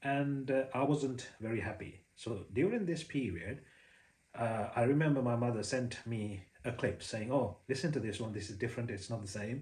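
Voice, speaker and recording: At a moderate pace, a somewhat breathy voice speaks with ordinary pitch variation against audible room echo. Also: man. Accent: Sri Lankan. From Sri Lanka. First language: Sinhala. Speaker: Buddhist preacher. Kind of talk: personal story monologue. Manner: hesitant, many fillers.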